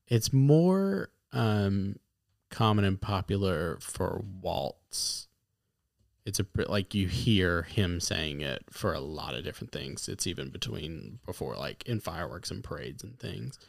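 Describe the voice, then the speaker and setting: A man's very deep, low voice with vocal fry and very wide pitch swings in an American accent, at a fairly slow pace on a very clean recording with a silent background. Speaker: podcast co-host. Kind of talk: casual chat.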